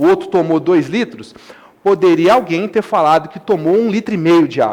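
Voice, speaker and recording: Over noticeable background noise, a man speaks at a moderate pace in a high pitch with lively intonation. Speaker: math teacher. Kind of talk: lecture. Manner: animated.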